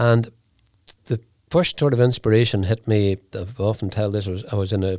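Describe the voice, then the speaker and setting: A man with a Northern Irish accent speaks with fairly even intonation in a very clean recording with a silent background. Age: 70s. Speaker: whiskey company founder. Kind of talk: interview. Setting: studio.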